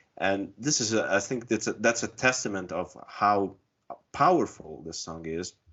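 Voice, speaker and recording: A man with a very deep, low pitch and an Italian accent. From Italy. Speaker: music fan panelist. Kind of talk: casual roundtable discussion.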